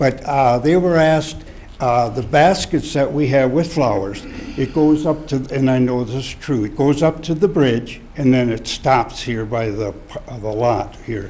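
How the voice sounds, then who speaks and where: A man speaks at a fairly slow pace with ordinary pitch variation, with audible room echo and noticeable background noise behind him. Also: medium pitch for a man. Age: 70s. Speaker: citizen speaking at public comment. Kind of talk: public comment at council meeting. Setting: city council chamber. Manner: halting, repeats himself.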